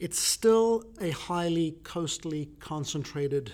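In a very clean recording with a silent background, a man speaks with a South African accent. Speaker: podcast host. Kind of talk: casual interview.

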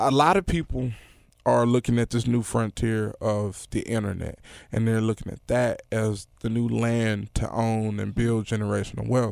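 With a Memphis accent, a man speaks at a moderate pace with fairly even intonation. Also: medium pitch for a man. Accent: Southern US, Memphis. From Memphis, Tennessee. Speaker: rapper and producer. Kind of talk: casual podcast interview.

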